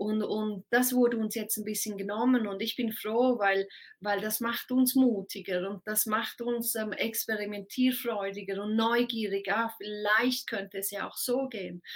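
A woman speaks slowly-ish, at a fairly slow pace with hardly any pauses. Her fairly high voice stays monotone with flat intonation. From Switzerland. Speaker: time expert, speaker. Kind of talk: casual interview.

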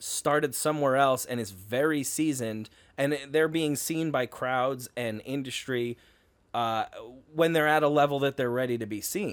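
On a very clean recording with a silent background, a man in an ordinary speaking voice talks at a moderate pace and a fairly high pitch with ordinary pitch variation. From New York, Hudson Valley. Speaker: comedian. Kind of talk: casual chat.

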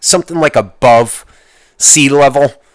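A man with a normal speaking voice and a fairly high pitch is heard on a very clean recording with a silent background and a dry, close sound with no echo. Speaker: podcast host. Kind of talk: angry rant, profane solo podcast monologue. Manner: ranting, profane, exasperated, loud and heated; rambling, casual, self-interrupting.

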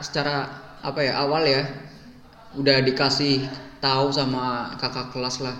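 A man speaks at medium pitch and a fairly slow pace in a monotone, flat intonation. Audible room echo and noticeable background noise are present. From Indonesia. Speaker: university student abroad. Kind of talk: casual chat.

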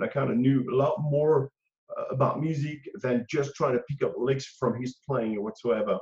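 Somewhat breathy and fairly high-pitched, a man with a French accent keeps his intonation fairly even. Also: moderate pace. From France. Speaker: guitarist. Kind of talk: interview. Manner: halting.

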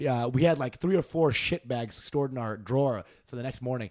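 A man with an American accent talks at a fairly quick pace in a plain, everyday voice, medium in pitch with ordinary pitch variation. The recording is very clean, with a silent background. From Texas (Dallas). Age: 20s. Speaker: comedian. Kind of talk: casual chat.

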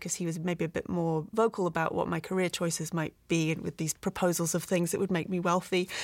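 A fairly low-pitched woman with a British accent and monotone, flat intonation, in a very clean recording with a silent background. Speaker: visual effects producer. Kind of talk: casual interview.

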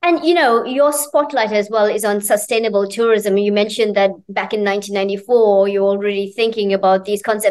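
Speaking at a moderate pace with hardly any pauses, a woman has a plain, everyday voice, medium pitch and ordinary pitch variation. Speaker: interviewer. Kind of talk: casual interview. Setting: in New York.

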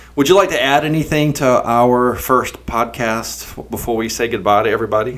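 In an American accent, a man talks at a moderate pace with hardly any pauses. His medium pitch shows ordinary variation. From US South, eastern North Carolina (Pender County). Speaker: podcast host and real estate agent. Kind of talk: casual chat.

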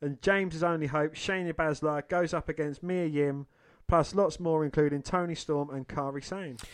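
An unremarkable speaking voice, a man's, fairly high in pitch, at a moderate pace with fairly even intonation, against a quiet background. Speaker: podcast co-host. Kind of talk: casual chat.

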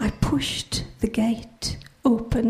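Reading in an unforced voice.

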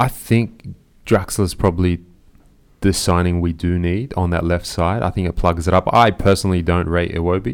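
A man speaks at a moderate pace with an Australian accent, his voice very deep and low. The intonation stays fairly even, and the recording is very clean with a silent background. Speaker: football podcast host. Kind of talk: casual chat.

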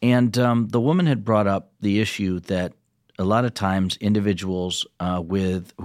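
An ordinary speaking voice from a man, fairly low in pitch, with fairly even intonation at a moderate pace on a very clean recording with a silent background. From rural Michigan, Ovid-Elsie. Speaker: state legislator. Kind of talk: interview conversation. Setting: studio.

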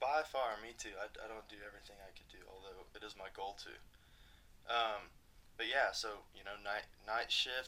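With a Texan accent, this voice has a bright, sharp tone, fairly even intonation, a moderate pace and big swings in loudness. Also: man, medium pitch for a man. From Texas, Abilene. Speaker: EMT and personal trainer. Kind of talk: casual interview chat.

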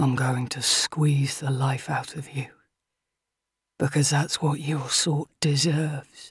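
A slow, put-on character voice with a husky, rough edge and little pitch movement. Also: woman, extremely low pitch for a woman.

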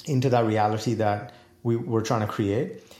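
Audible room echo around a man's somewhat breathy voice. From India, New Delhi. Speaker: executive coach and author. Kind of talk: casual interview.

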